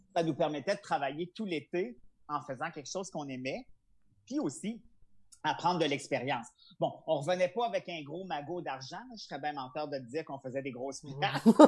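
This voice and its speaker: A man talks at a fairly quick pace in a fairly high pitch, with ordinary pitch variation and big swings in loudness. His is an unremarkable speaking voice. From Quebec, Charlevoix. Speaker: comedian. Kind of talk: interview.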